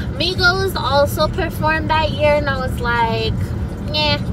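The pace is moderate, and loud background noise runs throughout. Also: woman, dry sound with no echo. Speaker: vlogger. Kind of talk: casual vlog chat. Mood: chatty, animated. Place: car. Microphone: phone near.

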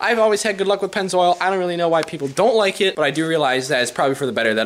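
Very wide pitch swings run through the speech of a man. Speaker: car YouTuber. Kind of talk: casual vlog talk. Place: garage. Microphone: phone near.

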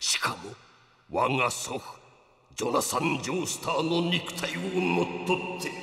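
A raspy male voice, fairly high in pitch, at a moderate pace with long, frequent pauses and a slight echo. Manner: grave, explanatory, old-man speech.

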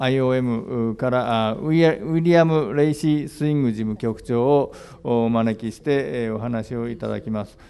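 A man at a moderate pace with hardly any pauses, ordinary pitch variation and big swings in loudness. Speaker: moderator, journalist. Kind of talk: press conference moderation. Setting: press conference. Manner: halting. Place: hall. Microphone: podium.

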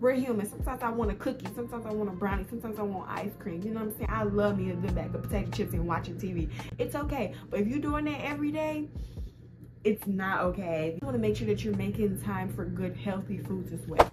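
With music playing in the background, a woman talks at a very fast pace. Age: 20s. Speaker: lifestyle vlogger. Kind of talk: casual talk to camera.

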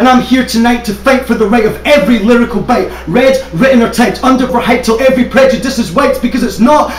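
Delivered at a fairly quick pace with fairly even intonation, the voice carries audible room echo over music in the background. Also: man. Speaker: spoken word poet. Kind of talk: slam poetry performance. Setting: live stage. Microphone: camera far.

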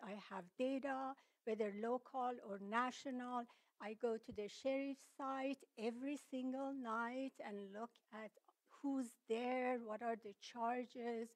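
A woman's fairly high voice at a very slow pace against a quiet background. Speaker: public commenter. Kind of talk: public comment at county meeting. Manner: halting, many fillers. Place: meeting room. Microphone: podium.

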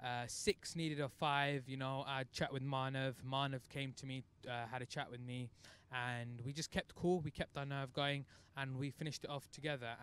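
In a dry sound with no echo, a man talks at a moderate pace with monotone, flat intonation. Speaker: cricket team captain. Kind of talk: post-match interview. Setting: outdoors at cricket ground. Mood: proud, relieved after win. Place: street. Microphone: handheld.

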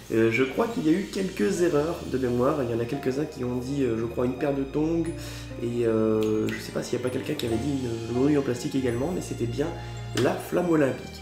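With clear music in the background, a man speaks at a fairly quick pace. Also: ordinary pitch variation. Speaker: geocaching youtuber. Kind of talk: casual vlog chat. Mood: cheerful, festive. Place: home room. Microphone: camera far.

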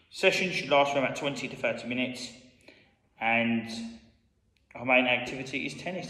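Audible room echo is heard as a man speaks. The background is quiet. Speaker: school PE teacher. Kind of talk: tutorial. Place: hall.

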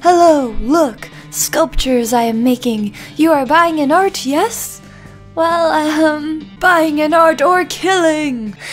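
A put-on character voice at a very slow pace, with clear music in the background. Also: woman, high pitch for a woman. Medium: solo performance. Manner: pushy, threatening, broken grammar.

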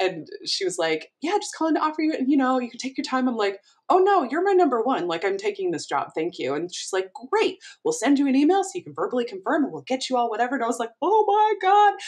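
Against a quiet background, a woman with a high voice speaks at a very fast pace in an animated tone, with very wide pitch swings. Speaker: community college professor. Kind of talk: casual chat. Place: home room. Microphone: webcam.

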